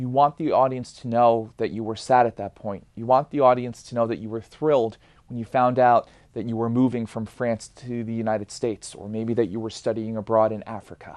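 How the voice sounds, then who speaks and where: A man's medium-pitched, unremarkable speaking voice at a fairly quick clip, with fairly even intonation but big swings in loudness. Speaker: educator, public speaking teacher. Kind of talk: lecture.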